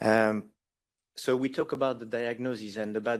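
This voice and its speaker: A man speaks in a French accent at a fairly slow pace. His medium-pitched voice keeps a fairly even intonation. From France. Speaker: patient advocate. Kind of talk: panel discussion. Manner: halting, many repetitions.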